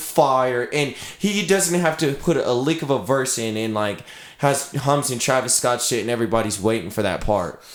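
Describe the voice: A man speaks at a moderate pace in a medium pitch. His pitch varies in an ordinary way, and there is faint background noise.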